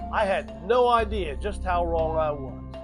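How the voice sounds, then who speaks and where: There is music in the background as a man speaks. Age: 60s. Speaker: Army veteran, online business beginner. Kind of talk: casual talk to camera, personal story.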